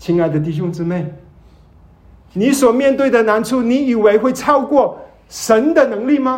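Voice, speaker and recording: Through audible room echo, a man with an extremely high pitch talks at a moderate pace with lively intonation and long, frequent pauses. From Malaysia. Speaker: visiting preacher. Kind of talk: sermon. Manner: hesitant, many fillers.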